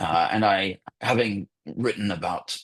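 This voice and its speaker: A man with a British accent uses lively intonation and a fairly low pitch against a quiet background. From England, London. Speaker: journalist and former magazine editor. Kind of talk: guest talk in online webinar.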